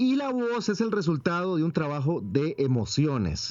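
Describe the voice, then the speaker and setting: A man with a Costa Rican accent speaks at a high pitch with very wide pitch swings. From Costa Rica, rural Cafetal area. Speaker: voice actor. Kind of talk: interview. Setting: phone call.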